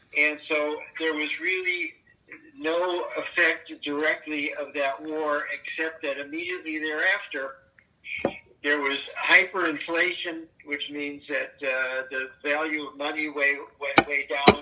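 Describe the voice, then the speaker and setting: A man talks at a fairly slow pace in a fairly high pitch, his intonation monotone and flat. Noticeable background noise sits behind him. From Germany. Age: 80s+. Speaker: Holocaust survivor. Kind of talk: oral history interview. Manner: halting.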